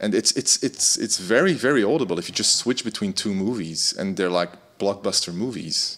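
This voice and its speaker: A man with a Dutch accent talks at a fairly quick pace and fairly low pitch, with ordinary pitch variation. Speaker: music tech community host. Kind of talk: casual chat. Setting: video call.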